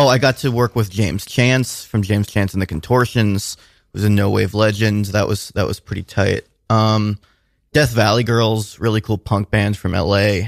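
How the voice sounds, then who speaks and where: In a dry, close sound with no echo and a very clean recording with a silent background, a man uses a normal speaking voice with a fairly low pitch and fairly even intonation. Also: moderate pace. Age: 20s. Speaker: filmmaker and musician. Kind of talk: casual interview. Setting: radio studio.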